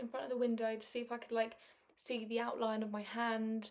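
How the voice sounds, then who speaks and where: Her pitch fairly high, a woman speaks fairly quickly in a monotone, flat way. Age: 20s. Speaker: podcaster. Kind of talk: casual monologue.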